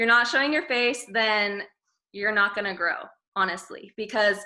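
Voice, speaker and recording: A woman speaks at medium pitch and moderate pace. Her tone is bright and sharp. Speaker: network marketing distributor. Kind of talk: training presentation. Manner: stumbles over words.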